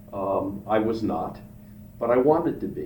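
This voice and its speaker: A man with an American accent speaks with ordinary pitch variation, with audible room echo and noticeable background noise around him. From Pennsylvania, Philadelphia suburbs. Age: 70s. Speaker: retired businessman, father of the host. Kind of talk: casual interview chat.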